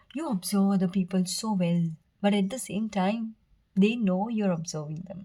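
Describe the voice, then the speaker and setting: A woman's somewhat breathy voice, dark and mellow in tone, at a medium pitch with ordinary pitch variation and a moderate pace. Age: 20s. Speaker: tarot reader. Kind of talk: tarot reading to camera. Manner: stuttering at times.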